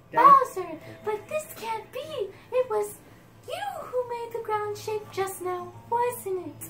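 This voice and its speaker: Over clear background noise, a female-sounding put-on character voice squeaks at an extremely high pitch and a fairly slow pace. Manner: dramatic, surprised.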